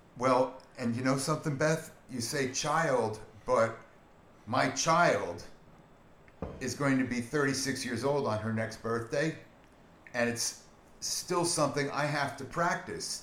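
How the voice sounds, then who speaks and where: Pausing long and often, a man speaks very slowly with ordinary pitch variation. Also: medium pitch for a man. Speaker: guest friend. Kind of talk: casual conversational podcast.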